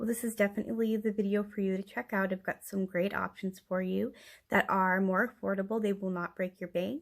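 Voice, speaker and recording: Soft-spoken and fairly quick, a woman talks with fairly even intonation on a very clean recording with a silent background. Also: medium pitch for a woman. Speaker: figure collector YouTuber. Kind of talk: product review. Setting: home, late at night.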